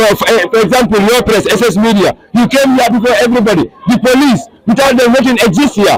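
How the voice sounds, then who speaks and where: Over noticeable background noise, a man with an extremely high voice speaks very fast in a stern tone, with ordinary pitch variation. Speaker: student union leader. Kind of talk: press statement. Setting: outdoors at a protest. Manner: stern-sounding.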